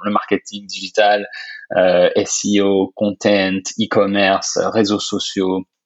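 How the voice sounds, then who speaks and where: A man speaks with fairly even intonation at a fairly low pitch. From France. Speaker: software company co-founder. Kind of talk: interview. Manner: hesitant, many fillers.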